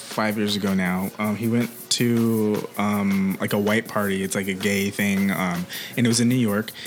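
A man speaks in a fairly low, flat, monotone voice at very even loudness. Noticeable background noise runs underneath. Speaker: podcast host. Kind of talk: casual chat.

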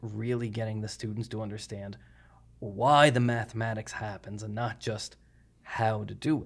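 Speaking in a Cape Breton accent, a man keeps a medium pitch and a moderate pace with monotone, flat intonation. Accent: Cape Breton Canadian English. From Cape Breton, Nova Scotia, Canada. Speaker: mathematics professor. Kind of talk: casual interview conversation.

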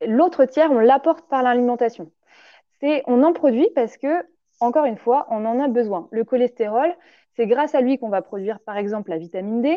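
A woman talks in a high, animated voice with lively intonation. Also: moderate pace. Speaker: naturopath. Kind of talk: interview, explaining nutrition. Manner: hesitant, many fillers.

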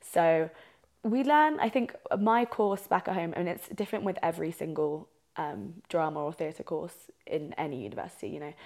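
A woman's fairly low voice at a moderate pace, with very wide pitch swings. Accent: southern English. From southeast England. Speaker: podcast co-host, drama student. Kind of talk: casual chat. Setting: friend's living room.

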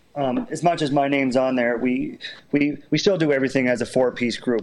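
A man with a Canadian Maritime accent speaks at a fairly high pitch. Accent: Canadian Maritimes. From Prince Edward Island, Canada. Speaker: children's musician and step dancer. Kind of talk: interview. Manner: halting.

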